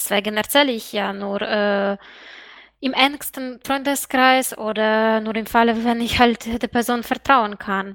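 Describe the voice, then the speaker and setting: In a very clean recording with a silent background, a woman with a fairly high voice speaks at a very slow pace with fairly even intonation. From Eastern Europe outside EU. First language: Eastern European language (speaking German). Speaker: student and sex worker. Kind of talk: interview.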